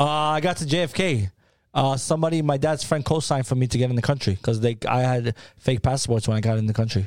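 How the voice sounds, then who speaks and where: Talking at a very fast pace, a man with a New York accent keeps a medium pitch, ordinary pitch variation and very even loudness on a very clean recording with a silent background. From New York City (Harlem). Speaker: food brand founder. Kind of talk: casual interview.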